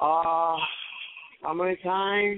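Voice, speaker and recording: A man with a high pitch speaks in a monotone, flat intonation. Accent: Puerto Rican. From Puerto Rico. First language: Spanish. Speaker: professional boxer. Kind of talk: phone interview. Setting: phone call. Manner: halting.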